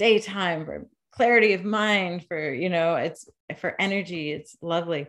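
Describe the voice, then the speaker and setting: A woman with an American accent has an unremarkable speaking voice, fairly low in pitch with ordinary pitch variation. She talks at a moderate pace against a quiet background. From western Massachusetts. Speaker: cannabis nurse practitioner. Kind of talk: interview.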